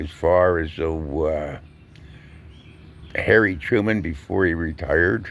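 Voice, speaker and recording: Very deep and low, a man's voice with vocal fry carries an American accent. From US Northeast, Collingswood, New Jersey. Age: 70s. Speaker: vlogger, retired truck driver and veteran. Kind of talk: casual monologue vlog. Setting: outdoors. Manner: conversational with filler pauses.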